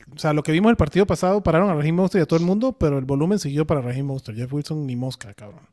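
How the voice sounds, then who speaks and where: A man speaks at a very fast pace in a fairly high voice with a dark, mellow tone and ordinary pitch variation. The recording is very clean, with a silent background and a dry, close sound with no echo. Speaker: fantasy football podcast host. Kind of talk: casual chat. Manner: animated.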